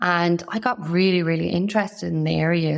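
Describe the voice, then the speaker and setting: Over a quiet background, a woman talks at a moderate pace in an Irish accent. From Ireland. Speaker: fertility nutritionist. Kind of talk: interview.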